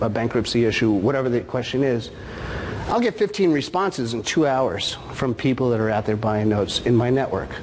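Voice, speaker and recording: A man at a medium pitch is heard with audible room echo and noticeable background noise around him. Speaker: note investor, conference speaker. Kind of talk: conference talk.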